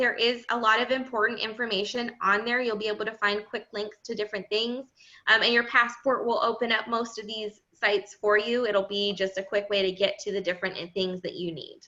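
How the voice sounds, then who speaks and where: The voice has a bright, sharp tone and fairly even intonation, running with hardly any pauses. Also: woman. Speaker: graduate program staff presenter. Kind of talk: orientation presentation with Q&A. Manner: fast.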